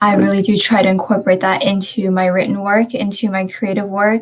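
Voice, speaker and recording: This woman has an American accent and a medium pitch. Her voice is somewhat breathy. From United States. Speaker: panelist, creative writer. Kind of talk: panel discussion. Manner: halting.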